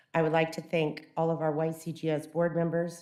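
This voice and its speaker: Talking at a fairly quick pace, a woman with a fairly low pitch is heard with audible room echo. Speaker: youth softball league secretary. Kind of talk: public speech at council meeting. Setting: council chamber podium. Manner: loud.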